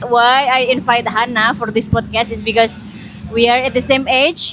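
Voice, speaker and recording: A woman speaks with an Indonesian accent. Music plays in the background. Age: 30s. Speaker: podcast host. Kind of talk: casual chat.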